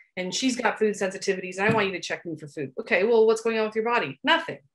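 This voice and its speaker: With a Canadian accent, a woman talks against a quiet background. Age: 40s. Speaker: naturopathic doctor; guest. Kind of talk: interview. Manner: animated. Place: office. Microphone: video call.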